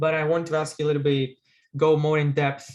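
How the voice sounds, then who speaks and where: A man speaks with a Greek accent at a fairly quick pace. His fairly high voice sounds somewhat breathy. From Greece. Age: 30s. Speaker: guest note-taking enthusiast. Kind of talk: casual video call conversation. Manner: halting, many hesitations.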